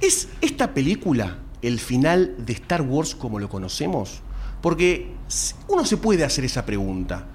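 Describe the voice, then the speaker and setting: In a Rioplatense accent, a man speaks at a fairly slow pace with audible room echo. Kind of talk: live podcast panel chat before audience. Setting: stage with live audience.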